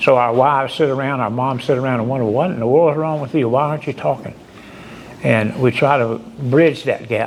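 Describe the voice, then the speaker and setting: With noticeable background noise behind him, a man speaks at a fairly quick pace in a medium pitch with ordinary pitch variation. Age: 70s. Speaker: firefighter assistance program counselor. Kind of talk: speech at awards ceremony.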